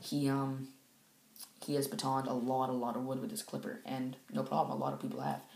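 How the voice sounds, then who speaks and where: With audible room echo, a man moves through his words fairly quickly. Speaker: outdoors gear reviewer. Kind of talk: product review. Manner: casual, hesitant with fillers. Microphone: bad quiet audio.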